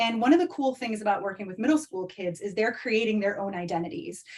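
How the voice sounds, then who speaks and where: Her voice somewhat breathy, a woman speaks at a medium pitch. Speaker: online community coach, former teacher. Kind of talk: live masterclass webinar. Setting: video call. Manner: fast; animated.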